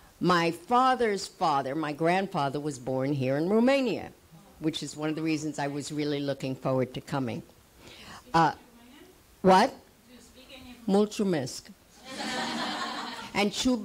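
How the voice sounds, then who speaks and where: Speaking with a New York accent, a woman uses a fairly low pitch with very wide swings. She goes at a fairly slow pace with long, frequent pauses, and there is noticeable background noise. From US Northeast, New York City (Manhattan). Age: 80s+. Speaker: actress and acting teacher. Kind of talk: panel talk.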